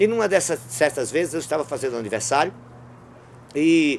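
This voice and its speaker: This man has a normal speaking voice, fairly high in pitch, moving at a fairly quick pace with ordinary pitch variation. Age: 60s. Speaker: street clown. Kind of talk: interview storytelling.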